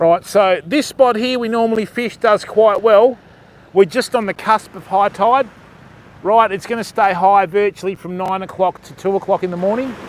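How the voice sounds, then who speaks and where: With an Australian accent, a high-pitched man speaks with big swings in loudness. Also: fairly even intonation, moderate pace. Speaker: fishing live streamer. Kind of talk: casual live stream commentary. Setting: outdoors on a beach at night.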